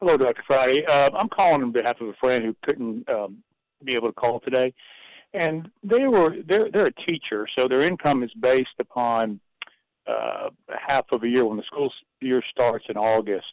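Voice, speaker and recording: Someone speaks at a moderate pace in a plain, everyday voice. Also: man, medium pitch for a man, lively intonation. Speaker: caller. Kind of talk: call-in question. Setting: phone call.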